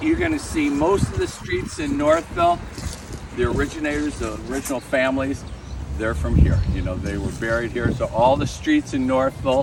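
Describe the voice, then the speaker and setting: A man's voice at a moderate pace against noticeable background noise. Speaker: tour guide and local historian. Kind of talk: guided walking tour talk. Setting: outdoors with a tour group. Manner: loud.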